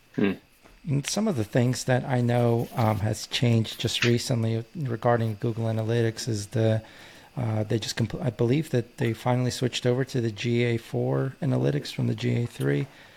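Delivered at a moderate pace, an unremarkable speaking voice shows ordinary pitch variation. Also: man, medium pitch for a man. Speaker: podcast co-host, business owner. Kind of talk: podcast interview.

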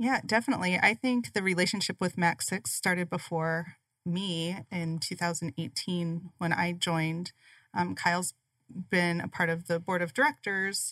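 A woman with an Upper Midwest accent, fairly low-pitched and fairly slow, with ordinary pitch variation and a dry, close sound with no echo on a very clean recording with a silent background. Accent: Upper Midwest American. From South Dakota, US Midwest. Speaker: chamber of commerce business development director. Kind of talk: radio interview.

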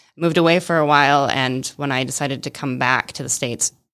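With an American accent, a woman speaks very fast in a very deep, low pitch with vocal fry and fairly even intonation. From Michigan. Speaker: volunteer organization chair and vineyard owner. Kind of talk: radio interview. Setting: radio studio.

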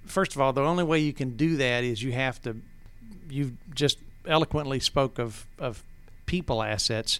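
The speaker talks with an Appalachian Georgia accent and ordinary pitch variation. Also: man. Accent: Southern US (Appalachian Georgia). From North Georgia, Towns County. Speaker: business owner, loudspeaker manufacturer. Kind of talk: casual interview, storytelling.

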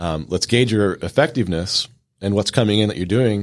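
A man speaks in a fairly low pitch with ordinary pitch variation. He has a normal speaking voice. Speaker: business coach and Air Force veteran. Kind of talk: radio interview. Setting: studio.

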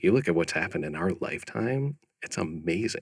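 This man has a bright, sharp tone and an American accent. He talks at a moderate pace with ordinary pitch variation. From US Midwest, Chicago area. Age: young. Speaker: company founder and CEO. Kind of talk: interview. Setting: studio.

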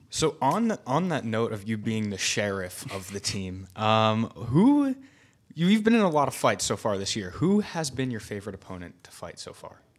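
With an ordinary speaking voice, a man talks in a medium pitch at a moderate pace. His intonation is lively and his loudness swings widely. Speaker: media assistant co-host. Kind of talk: casual interview.

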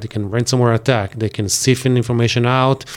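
Speaking at a fairly quick pace, a man with an Israeli accent talks at a medium pitch. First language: Hebrew. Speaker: IT company owner. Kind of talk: interview. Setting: studio. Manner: animated.

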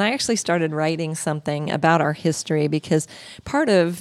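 This woman has an unremarkable speaking voice, fairly low in pitch with ordinary pitch variation. The recording is dry and close, with no echo. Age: 60s. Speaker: health coach and podcast host. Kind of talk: casual chat. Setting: studio.

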